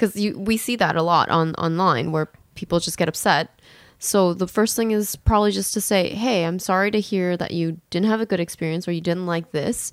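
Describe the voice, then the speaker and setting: Recorded very cleanly against a silent background, a woman talks at a fairly quick pace in an ordinary speaking voice, with medium pitch and ordinary pitch variation. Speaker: podcast host.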